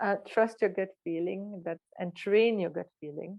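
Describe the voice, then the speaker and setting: At a moderate pace, a woman with a strong French accent speaks with fairly even intonation. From Belgium, Brussels. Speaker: neuroscientist. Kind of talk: talk at online event. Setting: online event.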